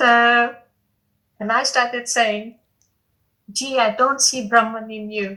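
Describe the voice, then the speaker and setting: A woman's fairly high voice, very slow and flat in intonation, broken by long, frequent pauses. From India, New Delhi. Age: 60s. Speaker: satsang participant. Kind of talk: spiritual Q&A sharing. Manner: halting.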